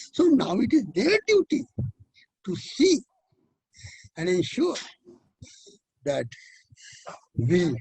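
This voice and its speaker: Speaking in an Indian accent at a very slow pace, a man with an extremely high pitch makes very wide pitch swings and long, frequent pauses, in a dry, close sound with no echo. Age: 80s+. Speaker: educator and author. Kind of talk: interview answer. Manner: positive, energetic.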